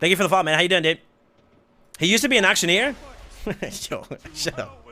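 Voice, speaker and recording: A man talks at a very fast pace in a raised, projected voice with a high pitch. His tone is bright and sharp, and his intonation is lively. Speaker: video game streamer. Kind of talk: live gaming stream chat. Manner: fast-talking; animated.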